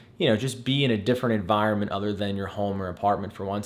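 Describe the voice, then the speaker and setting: Over noticeable background noise, a man speaks in an enthusiastic tone. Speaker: real estate agent vlogger. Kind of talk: casual vlog talk to camera. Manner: stumbling, repeats words.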